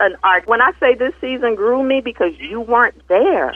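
This is a woman speaking. Her pitch is high. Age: 40s. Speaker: spiritual podcast host. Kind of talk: casual chat.

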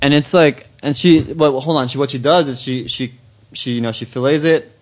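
A man with an American accent talks at a moderate pace with ordinary pitch variation. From East Los Angeles, California. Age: 20s. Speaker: food editor. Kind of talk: casual chat.

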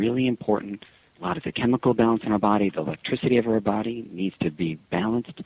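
The pace is very fast. The speaker is a man. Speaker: physician. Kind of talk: radio interview.

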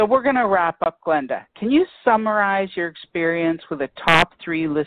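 With a plain, everyday voice, a woman talks at a moderate pace and fairly low pitch, her intonation lively. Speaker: radio host. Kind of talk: radio interview. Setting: online radio studio.

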